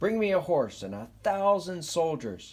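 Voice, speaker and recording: This man puts on a character voice, pitched high. His intonation is lively and his pace moderate. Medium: read story. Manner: demanding, haughty.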